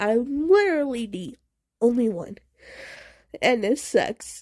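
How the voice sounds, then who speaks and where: On a very clean recording with a silent background, a woman speaks at a fairly slow pace in a high pitch, with very wide pitch swings and a dark, mellow tone. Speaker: deaf person with one hearing aid. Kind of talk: casual talk to camera. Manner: stuttering.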